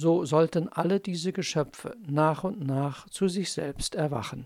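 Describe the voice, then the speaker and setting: The voice has a calm, soothing tone at a very slow pace. The recording is very clean, with a silent background. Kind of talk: bedtime fairy tale, scripted narration read aloud. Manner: slow, calm, soothing storyteller pace; gentle, dreamy, measured with pauses.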